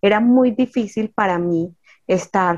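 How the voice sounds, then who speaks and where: A woman talks at a medium pitch. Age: 40s. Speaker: ant-keeping club founder. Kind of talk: interview.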